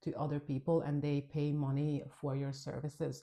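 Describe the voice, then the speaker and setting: A dark, mellow tone in a Hungarian accent at a moderate pace, over a quiet background. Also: woman. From Hungary. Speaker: nail technician and trainer. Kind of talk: tutorial. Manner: casual, conversational.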